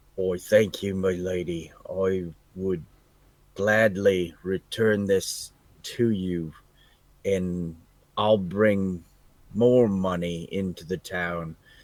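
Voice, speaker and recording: Very deep and low, a man's put-on character voice crawls at a very slow pace with long, frequent pauses. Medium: actual play. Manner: deferential, earnest.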